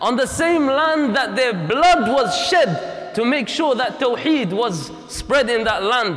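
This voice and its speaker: A man speaks at a fairly slow pace, his pitch swinging very widely. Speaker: preacher. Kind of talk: sermon. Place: hall. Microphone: lapel.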